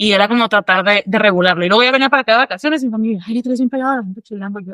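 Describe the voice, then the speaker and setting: Talking at a very fast pace, a woman with a fairly high pitch shows ordinary pitch variation and big swings in loudness, recorded with a dry, close sound and no echo. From northern Mexico. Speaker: psychologist. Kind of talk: podcast interview.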